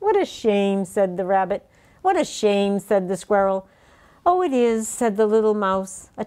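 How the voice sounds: A natural reading voice carries lively intonation throughout.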